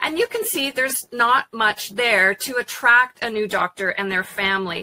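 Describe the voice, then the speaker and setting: A woman talks at a moderate pace in a normal speaking voice, fairly high and with lively intonation. The sound is dry and close with no echo. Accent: Canadian. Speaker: evaluation consultant. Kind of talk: webinar presentation.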